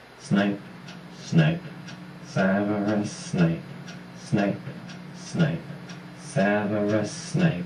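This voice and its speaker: In a cartoonish character voice, a man with a fairly high pitch talks at a very slow pace with long, frequent pauses, over clear background noise and a slight echo. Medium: puppet show.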